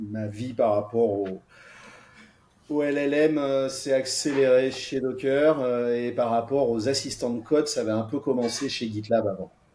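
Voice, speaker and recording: In a southern French accent, a man talks with a dark, mellow tone and fairly even intonation. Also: medium pitch for a man, fairly slow pace. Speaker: software architect. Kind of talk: podcast interview.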